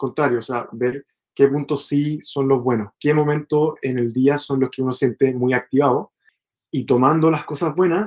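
A man with a Chilean accent at a moderate pace, his intonation fairly even. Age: 20s. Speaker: bootcamp student. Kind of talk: interview. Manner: halting.

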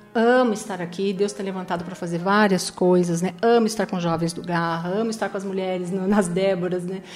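A woman talks at a fairly quick pace and medium pitch with fairly even intonation. Music plays in the background amid audible room echo. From Paraná interior, then São Paulo state from age 10. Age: 50s. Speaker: church youth coordinator. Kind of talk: testimony.

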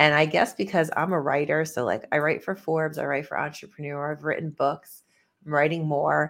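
This woman's voice is very deep and low-pitched, in a Northeastern US accent. Her tone is passionate and excited. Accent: Northeast US, tri-state. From US Northeast, tri-state area. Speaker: business CEO, author, speaker. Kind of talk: interview conversation. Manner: passionate, excited.

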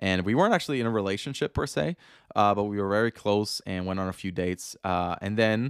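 On a very clean recording with a silent background, a man with a Danish accent talks at a fairly quick pace, the sound dry and close with no echo. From Denmark. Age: 20s. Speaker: podcast host. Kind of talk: casual devotional talk. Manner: animated.

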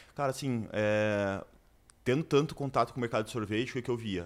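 Heard in a very clean recording over a silent background, a man has a normal speaking voice. He speaks at medium pitch with ordinary pitch variation. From Brazil, Curitiba. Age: 20s. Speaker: entrepreneur. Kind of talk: interview.

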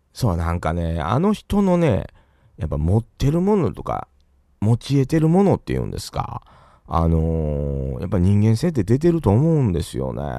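Over a quiet background, a man with a Kansai accent and a dark, mellow tone speaks at a moderate pace, his fairly low pitch making very wide swings. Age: 40s. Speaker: podcast host. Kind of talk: casual livestream chat. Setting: solo livestream.

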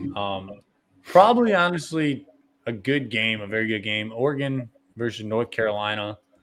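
A man speaks at a moderate pace and medium pitch with ordinary pitch variation, in a plain, everyday voice. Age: 20s. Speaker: sports podcast host. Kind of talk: casual chat.

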